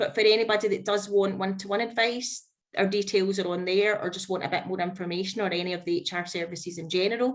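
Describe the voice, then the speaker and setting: Speaking at a fairly quick pace in a Scottish accent, a woman keeps a medium pitch and fairly even intonation. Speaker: HR consultant. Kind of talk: webinar presentation. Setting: online webinar.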